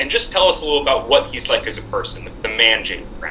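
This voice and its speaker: With an American accent, a man talks at a fairly quick pace amid noticeable background noise and audible room echo. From Massachusetts. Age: 30s. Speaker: podcast co-host. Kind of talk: podcast interview.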